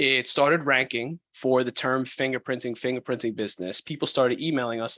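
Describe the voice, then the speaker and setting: A man's medium-pitched voice with an American accent, fairly quick, dry and close with no echo, over a quiet background. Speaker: business founder and course creator. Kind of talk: podcast interview.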